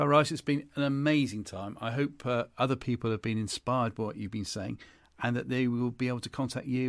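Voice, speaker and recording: On a very clean recording with a silent background, a man with a British accent talks fairly quickly at a medium pitch with ordinary pitch variation. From England. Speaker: podcast host. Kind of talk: casual interview.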